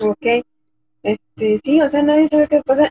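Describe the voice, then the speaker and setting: A loud woman's voice with ordinary pitch variation. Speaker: podcast co-host. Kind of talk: casual chat. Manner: speaking as loudly as she can. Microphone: low volume, technical problems.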